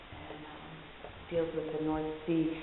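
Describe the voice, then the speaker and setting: A woman speaks quietly at a very deep, low pitch, with audible room echo and noticeable background noise. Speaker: painter. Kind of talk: casual chat. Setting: artist studio.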